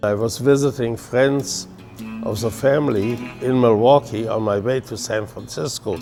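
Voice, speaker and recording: Over music in the background, a man with a German accent speaks at a moderate pace, medium in pitch, with fairly even intonation. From Germany. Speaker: brewmaster. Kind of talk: interview answer.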